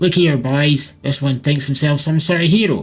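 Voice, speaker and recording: A man's put-on character voice, fairly high in pitch, with fairly even intonation and very even loudness. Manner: mocking, smug.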